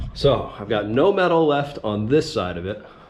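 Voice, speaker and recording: Amid noticeable background noise and audible room echo, a man speaks very slowly with very wide pitch swings. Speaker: woodworking YouTuber. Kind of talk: tutorial. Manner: casual with many fillers.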